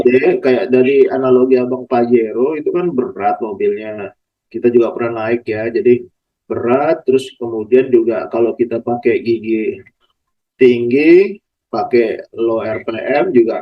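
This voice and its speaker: A man talks in a normal speaking voice at a fairly slow pace, with ordinary pitch variation. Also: medium pitch for a man. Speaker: podcast host, plantation traction staff. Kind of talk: casual interview questions.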